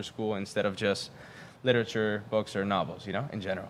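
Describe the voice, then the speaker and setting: A man talks at a fairly quick pace with fairly even intonation. Noticeable background noise runs behind him. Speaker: podcast host. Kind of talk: podcast interview.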